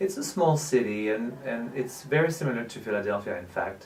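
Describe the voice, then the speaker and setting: Here a man speaks with a French accent. His pitch varies in an ordinary way. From southern France, Nîmes. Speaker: actor, producer and director. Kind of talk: interview.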